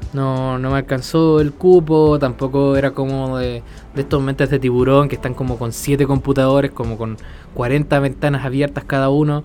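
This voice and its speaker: A man with a Chilean accent talks at a fairly high pitch in a flat monotone, with noticeable background noise. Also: moderate pace. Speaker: podcast host. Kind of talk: casual chat. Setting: at the beach.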